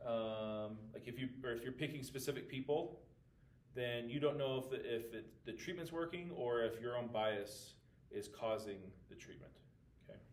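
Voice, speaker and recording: A man talks at a moderate pace with a medium pitch and ordinary pitch variation. Audible room echo surrounds his voice. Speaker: math teacher. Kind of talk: recorded lesson walking through class notes. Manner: casual with frequent fillers.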